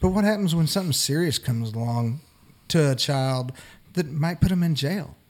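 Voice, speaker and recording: In a normal speaking voice, a man talks at a fairly high pitch and moderate pace with lively intonation. The recording is very clean, with a silent background. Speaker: podcast co-host. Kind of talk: casual panel discussion.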